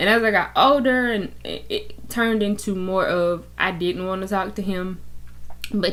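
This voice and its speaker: Amid audible room echo, a woman speaks at a medium pitch and a moderate pace. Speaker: YouTuber. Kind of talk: personal testimony. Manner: loud; animated.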